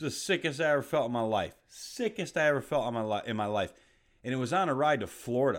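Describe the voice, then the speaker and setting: With an unremarkable speaking voice at medium pitch, a man talks with lively intonation on a very clean recording against a silent background. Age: 30s. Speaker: bodybuilding coach. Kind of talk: casual monologue podcast. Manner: casual.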